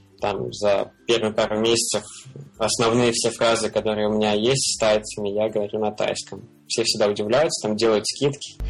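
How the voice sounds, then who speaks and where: There is noticeable background noise as a man speaks at a moderate pace. His fairly low voice keeps a fairly even intonation. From Russia, Belgorod. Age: 20s. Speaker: frontend web developer, freelancer. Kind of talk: casual interview. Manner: hesitant, many fillers.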